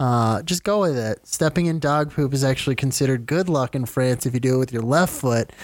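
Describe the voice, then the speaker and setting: A man's fairly high-pitched, normal speaking voice. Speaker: podcast co-host. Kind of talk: casual banter podcast.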